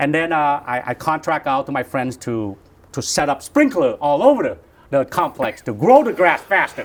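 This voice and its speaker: A man with a slight Vietnamese accent talks at a moderate pace in a fairly high pitch. His intonation is lively. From Vietnam, moved to US as a child. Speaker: real estate broker, founder. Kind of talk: interview, casual chat. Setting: hotel, in person.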